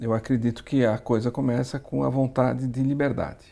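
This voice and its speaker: With fairly even intonation, a man speaks at a medium pitch in a dark, mellow tone. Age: 60s. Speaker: entrepreneur. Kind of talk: interview. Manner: halting, many fillers.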